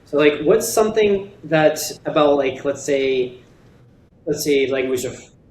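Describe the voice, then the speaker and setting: A man with a fairly high voice speaks at a fairly slow pace, with ordinary pitch variation. Noticeable background noise and audible room echo fill the recording. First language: Russian. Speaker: podcast co-host. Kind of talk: casual chat.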